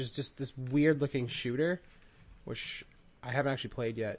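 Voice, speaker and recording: An ordinary speaking voice with ordinary pitch variation. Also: man. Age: 20s. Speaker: podcast host, video game collector. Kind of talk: casual chat.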